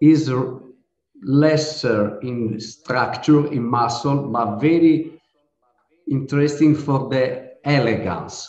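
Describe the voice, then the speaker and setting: A man with an Italian accent, talking at a very slow pace amid audible room echo. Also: medium pitch for a man, ordinary pitch variation. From Sardinia, Italy. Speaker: winemaker. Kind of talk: interview. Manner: halting.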